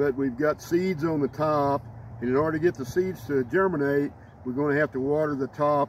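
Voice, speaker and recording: Over noticeable background noise, a man with an American accent speaks at a moderate pace, his pitch fairly high and his intonation fairly even. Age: 80s+. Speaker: home gardener demonstrating. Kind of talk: tutorial. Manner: halting, repeats words.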